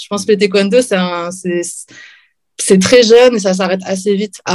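Medium in pitch with fairly even intonation, a woman speaks in an unremarkable speaking voice. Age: 40s. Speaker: professional MMA fighter and librarian. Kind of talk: interview.

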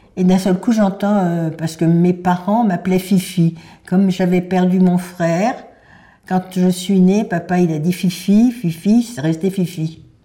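In a dark, mellow, somewhat breathy voice of medium pitch, a woman talks at a very slow pace with fairly even intonation. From Paris, France. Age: 90s. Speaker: Holocaust survivor. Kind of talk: testimony. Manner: halting.

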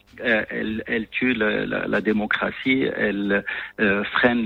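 A man's fairly low, monotone, flat voice at a fairly slow pace. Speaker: head of an anti-corruption authority. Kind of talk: radio interview.

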